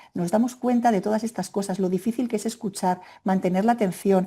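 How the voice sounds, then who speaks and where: The voice has a dark, mellow tone, comes out somewhat breathy, and moves at a fairly quick pace. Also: woman. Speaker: Spanish language teacher trainer. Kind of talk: webinar presentation. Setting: online webinar. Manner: fast; animated.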